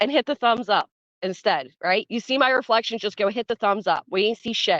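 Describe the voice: Someone gives a plain reading aloud over a quiet background.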